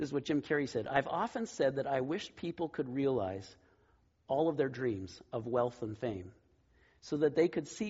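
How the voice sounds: The clip presents a natural reading voice. That voice carries the whole recording.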